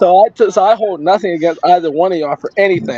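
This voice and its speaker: The delivery is very fast with ordinary pitch variation, captured with a dry, close sound and no echo but noticeable background noise. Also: man. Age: 20s. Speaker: family member. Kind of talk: family tribute speech.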